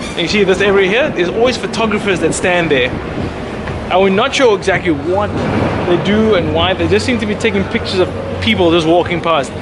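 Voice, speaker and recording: Over noticeable background noise and audible room echo, a man speaks fairly quickly at a high pitch, with ordinary pitch variation and very even loudness. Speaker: travel vlogger. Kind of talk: casual vlog narration. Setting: outdoors. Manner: fast.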